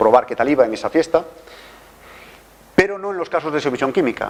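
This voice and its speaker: In a Galician accent, a man talks at a fairly quick pace with lively intonation. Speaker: forensic toxicologist. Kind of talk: lecture. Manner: halting.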